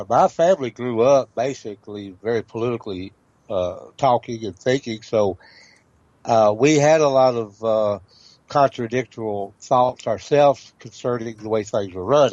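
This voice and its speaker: A man with a Southern US accent, medium pitch, ordinary pitch variation and a moderate pace. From Tennessee. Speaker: historian and legal researcher. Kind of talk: interview. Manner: halting, many fillers.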